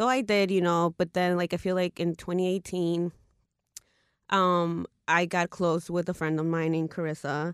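A woman with a Spanish accent and a fairly low pitch speaks at a moderate pace with fairly even intonation. The sound is dry and close with no echo, against a quiet background. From Mexican-American US. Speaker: intuitive psychic and tarot reader. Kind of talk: casual chat.

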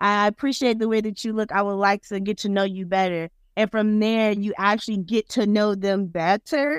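On a very clean recording with a silent background and a dry, close sound with no echo, a woman with an American accent speaks at medium pitch with fairly even intonation. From South Florida, Broward County. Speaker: third grade teacher. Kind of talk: casual interview.

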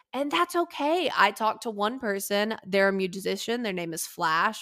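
On a very clean recording with a silent background, a woman talks at a moderate pace with lively intonation. She has an unremarkable speaking voice at medium pitch. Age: 20s. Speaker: motorsport journalist and podcast host. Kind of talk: casual interview chat.

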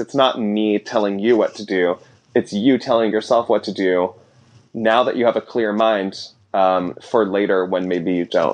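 A man with a plain, everyday voice, fairly low in pitch, speaks at a moderate pace with fairly even intonation. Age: 20s. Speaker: artist and author. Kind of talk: casual interview chat. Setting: home apartment studio in Brooklyn.

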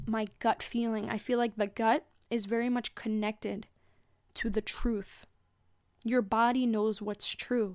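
In a very clean recording with a silent background, a woman with a fairly high pitch and a warm, gentle tone speaks at a fairly slow pace in a monotone, flat intonation, leaving long, frequent pauses. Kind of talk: pep talk. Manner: warm, earnest and encouraging, with a gentle, reassuring spiritual-coach tone.

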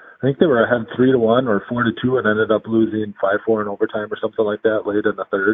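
Talking at a very fast pace, a man with an American accent barely pauses at all. His medium-pitched voice keeps a fairly even intonation. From Minnesota, Alexandria. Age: 30s. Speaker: high school hockey coach, former pro player. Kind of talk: casual interview.

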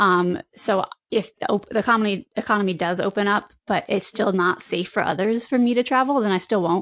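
A woman with an American accent and a plain, everyday voice, medium pitch, ordinary pitch variation, very even loudness, fairly quick pace and hardly any pauses. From eastern Connecticut, US. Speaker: trail runner. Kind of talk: casual interview.

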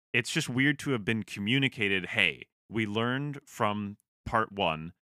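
The man speaks at a moderate pace. His intonation is lively. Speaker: podcast host. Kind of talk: casual chat. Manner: sarcastic, blunt, profane.

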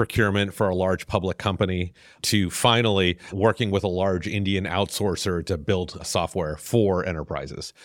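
With an American accent, a man delivers an ordinary speaking voice at a fairly low pitch and a moderate pace. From US South. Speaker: venture capitalist. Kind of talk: interview.

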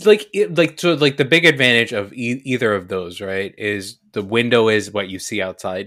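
A man with an American accent, a normal speaking voice at medium pitch, lively intonation, a moderate pace and hardly any pauses. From New Jersey, US, after early childhood abroad. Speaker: podcast guest, host's brother. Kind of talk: casual chat.

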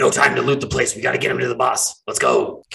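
Using a put-on character voice, a man talks very fast with a raspy sound. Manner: urgent, gruff.

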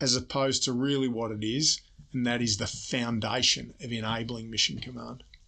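Against a quiet background, a man with an Australian accent speaks in a bright, sharp tone and fairly even intonation. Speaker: army general and report author. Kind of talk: interview. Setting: studio.

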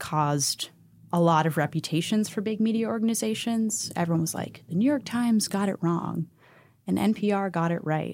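A woman talks in an ordinary speaking voice at a moderate pace with ordinary pitch variation. The recording is very clean, with a silent background. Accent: American. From Pittsburgh, US. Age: 20s. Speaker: podcast producer. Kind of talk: casual interview.

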